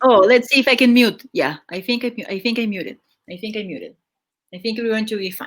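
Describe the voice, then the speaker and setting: Loud and at a very fast pace, a woman with fairly high pitch speaks with ordinary pitch variation. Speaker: podcast host and streamer. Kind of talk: casual chat.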